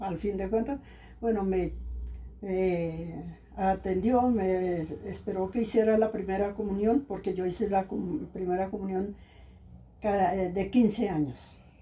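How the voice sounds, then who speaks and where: In a somewhat breathy, dark, mellow voice of medium pitch, a woman talks at a fairly slow pace. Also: ordinary pitch variation. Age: 70s. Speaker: elder interviewee. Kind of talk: life story interview. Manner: hesitant, with many fillers.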